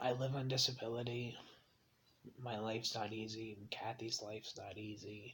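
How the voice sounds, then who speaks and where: Soft-spoken, a man talks at a moderate pace and medium pitch with monotone, flat intonation. His loudness swings widely. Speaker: vlogger living with mental illness. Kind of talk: personal confessional vlog. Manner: quiet, soft-spoken; hesitant, many ums.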